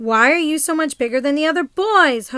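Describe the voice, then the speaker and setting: Someone talks in a put-on character voice at a fairly quick pace. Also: woman, high pitch for a woman. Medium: read story. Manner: imperious, demanding.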